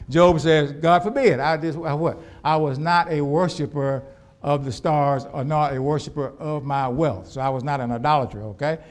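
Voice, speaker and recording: With an American accent, a man with a fairly high pitch speaks at a moderate pace with ordinary pitch variation, and room echo is audible. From US Southwest, Phoenix, Arizona. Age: 70s. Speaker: pastor. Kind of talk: sermon. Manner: call-and-response questioning, repetitive.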